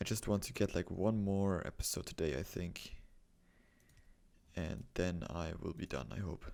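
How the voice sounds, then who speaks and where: A man with a German accent speaks at a moderate pace in a very deep, low voice, with ordinary pitch variation and long, frequent pauses. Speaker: gaming video creator. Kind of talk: gameplay commentary. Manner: halting, stumbling over words.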